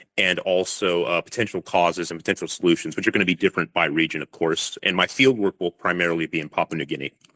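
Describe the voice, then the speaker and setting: A man with an American accent speaks very fast in a very deep, low pitch. His tone is bright and sharp, and the sound is dry and close with no echo. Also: fairly even intonation. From California, US. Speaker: crocodile attack researcher. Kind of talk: podcast interview. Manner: hesitant, many fillers.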